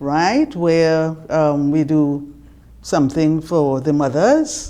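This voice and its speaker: A woman with a Trinidadian accent, very deep and low-pitched, fairly even in intonation, at a very slow pace. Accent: Trinidad and Tobago English. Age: 70s. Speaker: retired customer relations manager. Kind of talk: interview; reading aloud.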